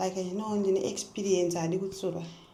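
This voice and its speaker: A woman's medium-pitched voice amid noticeable background noise and audible room echo. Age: 20s. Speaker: vlogger. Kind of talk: casual chat.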